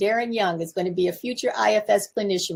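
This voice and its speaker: Her speech moves at a fairly quick pace with lively intonation. The woman's voice also shows vocal fry. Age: 70s. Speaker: communication coach. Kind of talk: live stream talk. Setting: home office.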